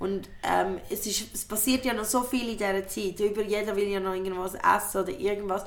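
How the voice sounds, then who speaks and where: Speaking in a Swiss accent at a fairly quick pace, a woman with a medium pitch sounds animated. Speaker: comedian and podcast host. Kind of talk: casual chat.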